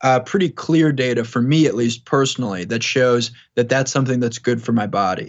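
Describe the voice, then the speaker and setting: Speaking in an American accent, a man with an unremarkable speaking voice talks at a fairly quick pace, medium pitch and ordinary pitch variation. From New York, Long Island. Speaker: tech startup founder. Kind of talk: interview.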